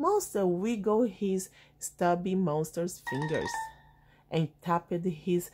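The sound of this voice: What we hear is an unforced reading voice.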